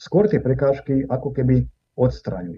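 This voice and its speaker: Vocal fry runs through the man's speech. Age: 60s. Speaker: Orthodox priest. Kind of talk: interview.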